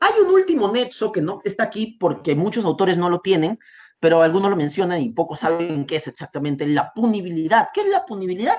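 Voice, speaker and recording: A man is speaking. His pitch swings very widely. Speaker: law lecturer. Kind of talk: lecture. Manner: variable pace, sometimes fast.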